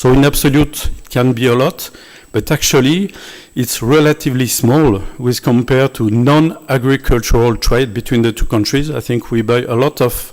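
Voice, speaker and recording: A man with a French accent speaks at a moderate pace in a medium pitch with fairly even intonation. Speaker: visiting scientist. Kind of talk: closing remarks speech. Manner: halting.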